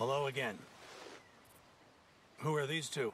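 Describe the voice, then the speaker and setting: Over clear background noise, a man does a raspy put-on character voice at medium pitch and a moderate pace. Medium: video game. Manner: pompous, condescending.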